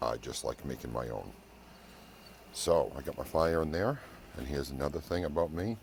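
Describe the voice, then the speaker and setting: A man speaks with a very deep, low pitch. He goes at a moderate pace. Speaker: barbecue cooking YouTuber. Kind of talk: casual cooking vlog. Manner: hushed, trying to whisper.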